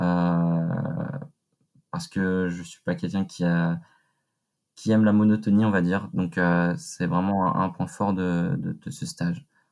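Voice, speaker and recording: A man's voice sits very deep and low, with ordinary pitch variation. He speaks at a very slow pace, with long, frequent pauses. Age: 20s. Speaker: business school student, audit intern. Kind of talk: interview. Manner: halting, many repetitions and fillers.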